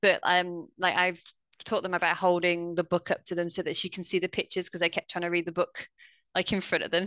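Talking very fast in a flat monotone with a British accent, the voice sounds dry and close with no echo over a quiet background. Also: woman. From UK. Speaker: former teacher, online reading tutor. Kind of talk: interview.

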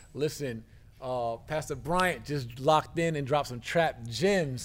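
This man has a plain, everyday voice, fairly high in pitch, with ordinary pitch variation at a moderate pace. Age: 40s. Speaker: podcast host. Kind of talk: podcast interview; show outro. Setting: studio.

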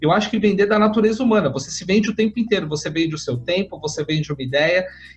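With music playing behind him, a man speaks using lively intonation. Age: 30s. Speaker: career strategist, podcast host. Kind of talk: interview.

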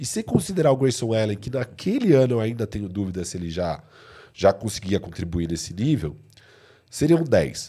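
A man's dark, mellow voice with vocal fry, fairly quick pace and very wide pitch swings, on a very clean recording with a silent background. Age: 30s. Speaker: basketball podcast co-host. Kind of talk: casual sports debate. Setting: live stream.

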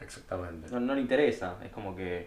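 There is audible room echo and noticeable background noise as a man speaks in a Rioplatense accent. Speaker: podcast co-host. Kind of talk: casual chat.

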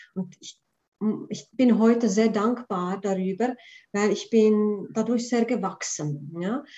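A woman speaks very slowly at a fairly high pitch, her dark, mellow voice somewhat breathy, with ordinary pitch variation and big swings in loudness. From Prague, then Switzerland from age nine. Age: 40s. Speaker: spiritual coach. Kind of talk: casual interview.

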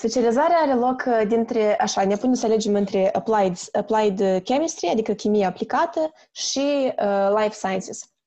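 In a quiet background, a woman speaks at a fairly high pitch in a dark, mellow tone with lively intonation. Her pace is moderate, her loudness very even, and she hardly pauses. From Moldova, Chișinău. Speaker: chemistry student. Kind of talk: casual interview. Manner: halting, many fillers.

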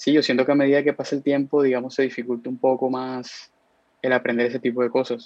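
In a monotone, flat intonation, a man speaks at medium pitch. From Colombia, Cartagena. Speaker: college soccer player. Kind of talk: casual interview.

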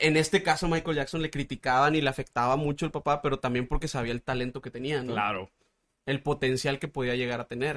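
A man's speech at a very fast pace, in a very clean recording with a silent background and a dry, close sound with no echo. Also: fairly high pitch for a man, ordinary pitch variation. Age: 30s. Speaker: radio producer and voice-over artist. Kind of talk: casual chat.

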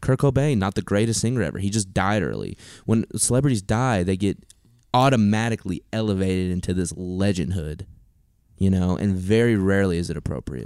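In a very clean recording with a silent background, an ordinary speaking voice goes at a fairly quick pace with ordinary pitch variation. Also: man, fairly low pitch for a man. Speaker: student podcast co-host. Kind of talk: casual chat.

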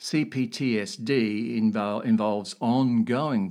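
A man speaks in an ordinary speaking voice, fairly low in pitch. His pitch varies in an ordinary way. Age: 60s. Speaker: podcast host sharing personal story. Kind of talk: personal monologue.

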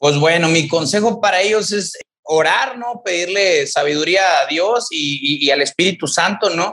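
This man's voice is high-pitched with a bright, sharp tone, ordinary pitch variation and a moderate pace. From Mexico, Tamaulipas (rural ejido near Ciudad Victoria). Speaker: CrossFit coach and gym owner. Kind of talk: interview testimony. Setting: remote call.

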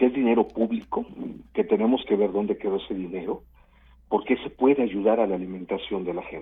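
This man has a normal speaking voice with a fairly low pitch. His pitch varies in an ordinary way. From Veracruz, Mexico (Coatzacoalcos). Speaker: trade association president. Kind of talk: radio interview.

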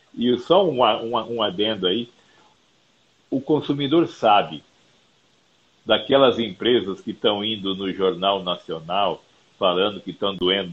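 At a very slow pace, a man talks in a fairly low pitch with ordinary pitch variation. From Brazil, Mato Grosso do Sul (Campo Grande). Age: 50s. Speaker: company founder and CEO. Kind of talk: interview.

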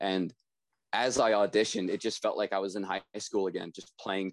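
Here is a man with a normal speaking voice, fairly low in pitch and fairly even in intonation, at a moderate pace. The sound is dry and close with no echo, over a quiet background. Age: 20s. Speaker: drummer in a pop punk band. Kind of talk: casual interview.

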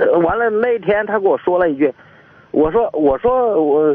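A man's high-pitched voice. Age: 40s. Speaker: caller. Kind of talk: phone-in call. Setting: phone call. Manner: halting.

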